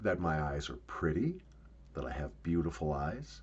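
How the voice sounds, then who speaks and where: There is vocal fry in this man's voice. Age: 60s. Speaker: YouTuber. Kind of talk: casual vlog monologue.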